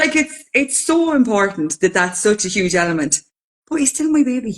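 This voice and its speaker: In an Irish accent, a woman speaks at a moderate pace with a somewhat breathy, fairly high voice and very wide pitch swings. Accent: Irish, Carlow. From Ireland, County Carlow. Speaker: podcast co-host. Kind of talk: casual chat.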